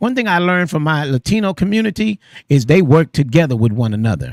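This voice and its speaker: A man at a fairly quick pace, animated in tone and with very wide pitch swings, in a very clean recording with a silent background and a dry, close sound with no echo. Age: 60s. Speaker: radio host. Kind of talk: casual chat. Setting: studio.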